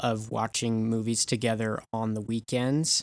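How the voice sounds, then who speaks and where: Over a quiet background, a man with an American accent talks at a medium pitch and a fairly slow pace, with monotone, flat intonation and a dry, close sound with no echo. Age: 20s. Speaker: podcast guest, marketing worker. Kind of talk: casual chat.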